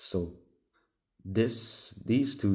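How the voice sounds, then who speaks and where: A man speaks in a somewhat breathy voice. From Hungary. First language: Hungarian. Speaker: pipe tobacco vlogger. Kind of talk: casual vlog talk. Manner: halting.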